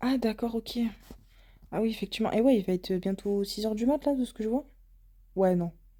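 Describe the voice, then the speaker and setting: Speaking at a fairly quick pace with long, frequent pauses, a woman uses a fairly high pitch and a dark, mellow tone. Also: ordinary pitch variation. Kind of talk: casual chat. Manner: stuttering.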